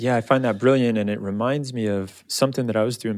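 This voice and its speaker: In a very clean recording with a silent background, a man speaks in an unremarkable speaking voice, with fairly even intonation at a fairly quick pace. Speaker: podcast host. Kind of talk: interview.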